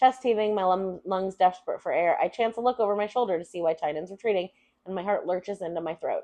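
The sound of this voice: An unforced reading voice moves through the lines with ordinary pitch variation.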